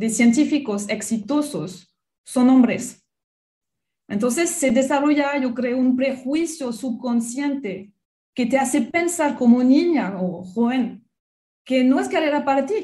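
In a French accent, the voice moves at a very slow pace with lively intonation and a dark, mellow tone. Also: woman. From France. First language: French (speaking Spanish). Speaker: biology researcher and professor. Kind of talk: radio interview.

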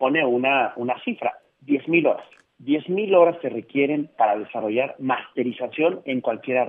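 This man has an ordinary speaking voice, fairly high in pitch, with ordinary pitch variation and a fairly slow pace. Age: 40s. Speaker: speaker and consultant on generations and work. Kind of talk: radio interview. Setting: phone call.

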